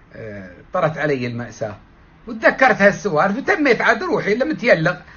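At a moderate pace, a man speaks. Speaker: vlogger. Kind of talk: casual vlog chat. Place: home room. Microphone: phone near.

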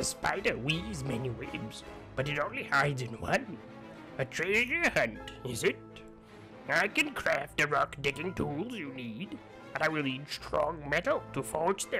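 A man at a moderate pace, clear music in the background. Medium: machinima. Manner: cryptic, playful riddling.

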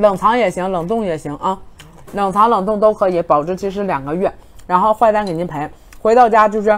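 A woman's animated voice at a fairly quick pace, with ordinary pitch variation. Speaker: livestream seller. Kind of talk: rapid-fire livestream hard-sell pitch, countdown to flash sale. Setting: livestream studio. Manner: excitable, hype-driven, rapid repetition of prices and urgency; animated, loud exclamations while eating. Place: studio. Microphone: lapel.

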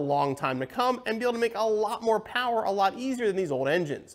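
A man talks at a very fast pace. His pitch swings very widely. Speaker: presenter. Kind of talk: explainer talk to camera. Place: studio. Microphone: lapel.

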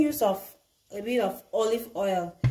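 A woman's voice with quiet behind it. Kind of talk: cooking tutorial. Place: kitchen. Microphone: camera far.

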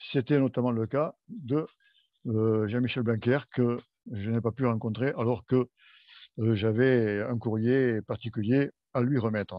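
A man's very slow, fairly even delivery, broken by long, frequent pauses, in a dry sound with no echo against a quiet background. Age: old. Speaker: language association member. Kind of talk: report. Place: home room. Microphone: headset.

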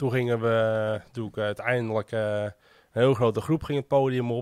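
A man talks at a fairly slow pace. The sound is dry with no echo, and the background is quiet. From Medemblik, North Holland, Netherlands; North Holland, Netherlands. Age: 30s. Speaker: small business owner and festival volunteer; guest. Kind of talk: casual interview. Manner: hesitant, many filler sounds. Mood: relaxed, reminiscing. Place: studio. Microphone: studio mic.

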